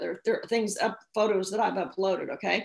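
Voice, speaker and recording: A woman speaks in an animated tone with vocal fry. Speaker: social media speaker. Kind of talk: seminar presentation.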